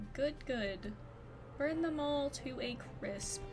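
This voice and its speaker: A woman puts on a character voice, pitched high. She speaks very slowly over loud background noise. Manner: silly, gleeful.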